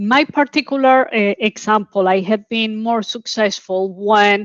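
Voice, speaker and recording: In a dry, close sound with no echo and a quiet background, a woman with a strong Colombian accent speaks at a fairly slow pace and fairly high pitch. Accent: Colombian Spanish accent, heavy. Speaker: oil and gas executive. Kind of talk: panel discussion.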